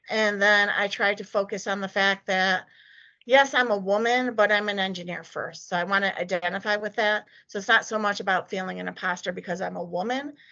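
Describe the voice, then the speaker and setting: Her voice is shaky, with fairly even intonation. The woman speaks at a fairly quick pace. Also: medium pitch for a woman. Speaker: desktop engineer, guest speaker. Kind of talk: talk presentation with Q&A.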